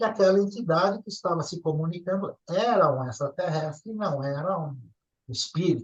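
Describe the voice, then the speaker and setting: With lively intonation and big swings in loudness, a man speaks at a moderate pace in a high pitch. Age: 60s. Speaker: ufology contactee. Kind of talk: interview storytelling. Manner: casual, conversational.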